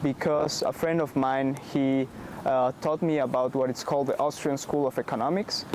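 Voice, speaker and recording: With a Spanish accent, a man speaks at a fairly quick pace and a fairly high pitch over noticeable background noise. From Bolivia. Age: 20s. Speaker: startup founder. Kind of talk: interview. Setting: in-person interview in Amsterdam.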